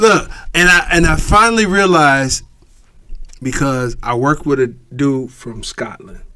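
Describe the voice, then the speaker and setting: With an American accent and lively intonation, the speaker goes at a fairly slow pace, leaving long, frequent pauses. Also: man, fairly high pitch for a man. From Erie, Pennsylvania. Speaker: podcast co-host and comedian. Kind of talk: casual chat. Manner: mumbling.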